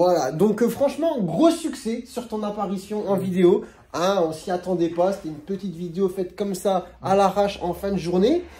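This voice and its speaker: A man speaks in a high voice with lively intonation. Noticeable background noise is present. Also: moderate pace. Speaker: general practitioner. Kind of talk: casual interview with a colleague.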